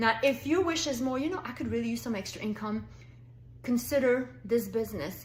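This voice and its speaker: A woman talks in an animated tone with a French accent. Audible room echo surrounds her voice. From France. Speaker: direct sales consultant. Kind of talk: sales pitch. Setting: pre-recorded video for online party.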